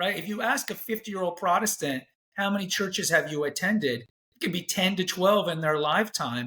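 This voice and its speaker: A man's raised, projected voice, high in pitch and bright and sharp in tone, with lively intonation and a fairly quick pace. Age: 40s. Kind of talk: interview conversation.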